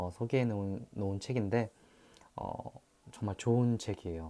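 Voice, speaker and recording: Fairly low and dark, mellow in tone, a man's voice moves at a fairly slow pace with ordinary pitch variation. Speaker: actor. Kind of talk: casual talk to camera.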